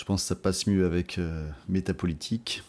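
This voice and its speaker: A man speaks in a very deep, low pitch with a dark, mellow tone and monotone, flat intonation. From France (overseas territories). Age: 40s. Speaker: political podcaster. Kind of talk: casual monologue podcast. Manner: hesitant, many fillers.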